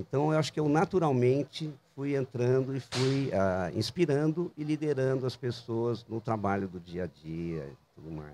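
Pitch swings very widely in this dark, mellow voice, which holds a moderate pace. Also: man, medium pitch for a man. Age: 60s. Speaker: designer and entrepreneur. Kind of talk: casual interview. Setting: outdoors in a public square bandstand.

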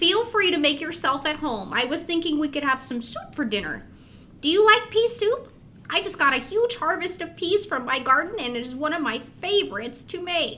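A female-sounding put-on character voice, extremely high in pitch and moderate in pace, with clear background noise. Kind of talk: horror podcast audio drama. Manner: warm, cheerful, a little mysterious.

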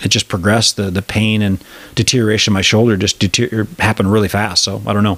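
A man with an American accent talks very fast in a monotone, flat delivery, his loudness very even and the sound dry and close with no echo. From Wisconsin. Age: 40s. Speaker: podcast host. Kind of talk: casual interview chat.

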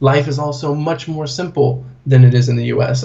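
A man with an American accent speaks at a fairly slow pace in a somewhat breathy, medium-pitched voice with monotone, flat intonation, and audible room echo around him. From US Pacific Northwest, Portland. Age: 20s. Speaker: corporate trainer and blogger. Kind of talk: interview. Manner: casual.

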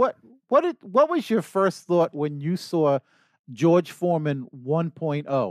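A man with a New York accent speaks at a very slow pace, his high pitch full of lively intonation. The sound is dry and close with no echo. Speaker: podcast co-host. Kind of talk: casual interview chat. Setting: studio.

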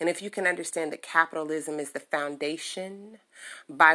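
A woman speaks in an American accent with a very deep, low voice and a bright, sharp tone. The recording is very clean, with a silent background. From Chicago. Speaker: political podcast host. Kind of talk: solo podcast commentary. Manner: casual, many filler words.

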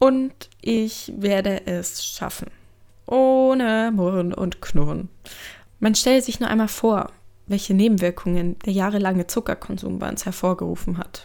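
In a very clean recording with a silent background, a woman speaks at a fairly slow pace with a dark, mellow tone, medium pitch and ordinary pitch variation. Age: 20s. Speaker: student doing a self-experiment audio diary. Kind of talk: audio diary narration. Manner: animated.

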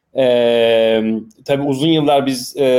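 A plain, everyday voice, a man at medium pitch with fairly even intonation. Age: 30s. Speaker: entrepreneur, mobile game publisher. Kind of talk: casual chat.

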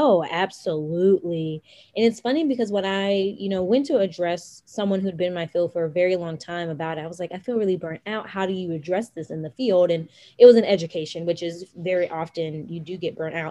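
Over a quiet background, a speaker with an American accent and a dark, mellow tone talks at a fairly quick pace with ordinary pitch variation. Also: woman, fairly low pitch for a woman. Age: 20s. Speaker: life and financial coach. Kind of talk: casual chat.

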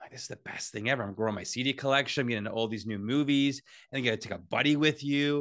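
Against a quiet background, a man with a Canadian accent and medium pitch speaks very fast, with ordinary pitch variation and big swings in loudness. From Ontario, Canada. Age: 40s. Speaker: sports journalist. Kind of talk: casual chat.

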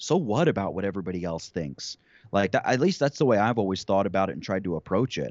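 At a fairly quick pace, a man with a normal speaking voice and fairly low pitch uses lively intonation. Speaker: YouTube creator. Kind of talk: interview conversation.

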